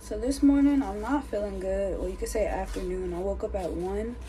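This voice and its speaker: A woman at a fairly quick pace over light background noise. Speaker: vlogger. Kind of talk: casual vlog chat. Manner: low, tired, under-the-weather voice.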